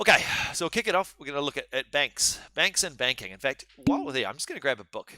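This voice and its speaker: Speaking at a very fast pace, a man with a fairly high pitch uses very wide pitch swings in a bright, sharp tone. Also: dry, close sound with no echo. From New Zealand. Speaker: university law lecturer. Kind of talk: live online lecture. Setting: live-streamed online seminar. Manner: casual, halting with many fillers.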